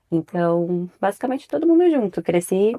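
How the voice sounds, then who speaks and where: A woman's dark, mellow tone at a fairly slow pace, dry and close with no echo. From São Paulo, Brazil. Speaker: podcast co-host, mother. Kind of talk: casual chat.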